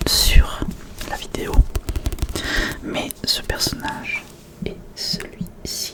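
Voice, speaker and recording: A man whispers at a very slow pace with long, frequent pauses. Noticeable background noise sits behind him. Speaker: ASMR creator. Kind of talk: casual talk to camera. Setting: close to microphone. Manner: whispered.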